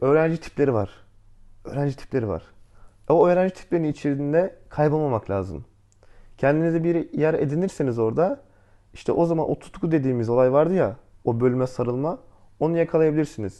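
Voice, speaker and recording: A fairly high-pitched male voice, dark and mellow, with ordinary pitch variation, a fairly quick pace and long, frequent pauses. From Antalya, Turkey. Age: 20s. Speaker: architecture student. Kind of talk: casual interview.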